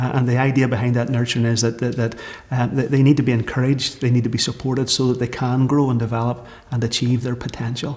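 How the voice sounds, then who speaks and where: A man speaks very fast at a medium pitch in a flat monotone, with noticeable background noise. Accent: Northern Irish. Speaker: church minister leading community project. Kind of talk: documentary interview. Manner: hesitant, many fillers.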